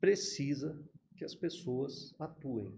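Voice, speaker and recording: A man's fairly high, somewhat breathy voice in a dark, mellow tone, at a fairly slow pace with lively intonation. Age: 60s. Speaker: retired federal police chief. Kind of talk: podcast interview.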